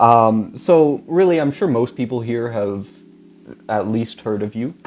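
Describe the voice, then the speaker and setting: Fairly slow delivery and lively intonation in a normal speaking voice. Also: man, medium pitch for a man. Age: young. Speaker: graffiti artist and podcast host. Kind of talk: interview. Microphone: too quiet.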